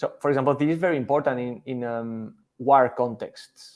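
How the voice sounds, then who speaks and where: Medium-pitched male voice with a Spanish accent, fairly slow pace, very clean recording and a silent background. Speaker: scientist. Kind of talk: interview. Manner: halting.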